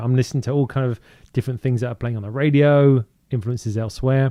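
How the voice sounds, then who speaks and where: A man in a British accent speaks with a dark, mellow, medium-pitched voice and ordinary pitch variation. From southern England (Woking, Surrey). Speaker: DJ. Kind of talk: casual interview. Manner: halting, many fillers.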